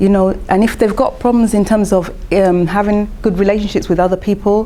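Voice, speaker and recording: A woman at medium pitch speaks with a British accent at a fairly quick pace. There is noticeable background noise and audible room echo. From London, England (Ghanaian parentage). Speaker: conference speaker. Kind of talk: conference presentation. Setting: conference session with audience.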